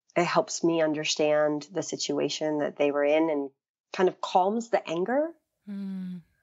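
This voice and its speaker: A woman's fairly low voice with an American accent, a plain, everyday voice, and ordinary pitch variation. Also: fairly slow pace. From North Carolina, US South. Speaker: adoptee and contemporary artist. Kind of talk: interview conversation.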